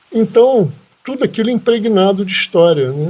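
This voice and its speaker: A man's high-pitched voice swings very widely in pitch. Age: 70s. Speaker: farm owner and hotelier. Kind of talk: podcast interview.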